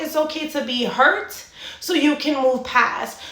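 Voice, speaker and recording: A woman speaks in a raised, projected voice with a high pitch at a moderate pace. Room echo is audible, and there is noticeable background noise. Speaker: fitness and mindset coach. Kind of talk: motivational monologue.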